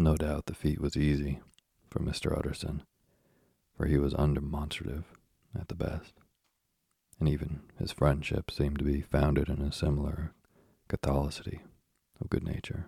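A man talks at a moderate pace in a very deep, low voice with vocal fry. His intonation is monotone and flat, broken by long, frequent pauses. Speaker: bedtime story podcast host. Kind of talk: reading aloud. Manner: soft-spoken.

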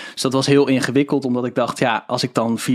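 Amid noticeable background noise, a man speaks at a fairly quick pace. His pitch is medium and his intonation fairly even. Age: 20s. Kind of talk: interview. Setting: studio.

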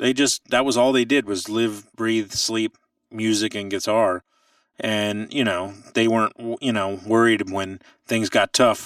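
An ordinary speaking voice, this man talks at a fairly slow pace with a fairly low pitch and fairly even intonation, in a very clean recording with a silent background and a dry, close sound with no echo. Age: 30s. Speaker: blues guitarist and session musician. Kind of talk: casual interview.

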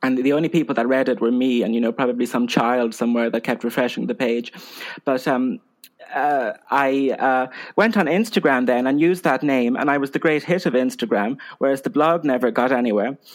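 With an Irish accent, a man speaks at a fairly quick pace and medium pitch, showing ordinary pitch variation and very even loudness. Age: 20s. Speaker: Instagram humorist and film fan. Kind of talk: casual chat. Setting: video call.

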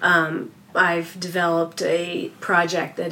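This woman has a fairly low pitch. Noticeable background noise is present. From Canada. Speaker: magazine design director. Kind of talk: interview.

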